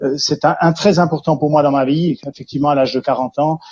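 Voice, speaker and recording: The man's intonation stays monotone and flat. His voice is fairly high. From Switzerland, Jura region. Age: 50s. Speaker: care centre founder, entrepreneur. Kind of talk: testimony interview. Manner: hesitant, many fillers.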